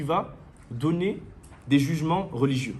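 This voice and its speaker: Audible room echo surrounds a man's fairly high voice. He speaks at a fairly slow pace and sounds somewhat breathy. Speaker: Islamic religious teacher. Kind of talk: lecture.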